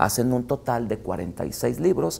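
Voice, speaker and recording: A man talks at a fairly low pitch with vocal fry. His pitch swings very widely. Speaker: guest theology teacher. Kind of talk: interview answer. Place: studio.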